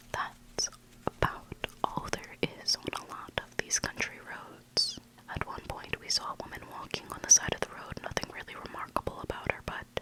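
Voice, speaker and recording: At a moderate pace, the whispering comes through noticeable background noise. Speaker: ASMR content creator. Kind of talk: ASMR story reading. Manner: whispered.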